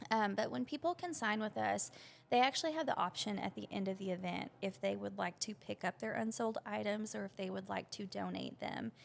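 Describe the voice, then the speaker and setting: A woman in a Southern US accent at a fairly quick pace. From Arkansas. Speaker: business owner. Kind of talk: interview. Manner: casual, with many fillers.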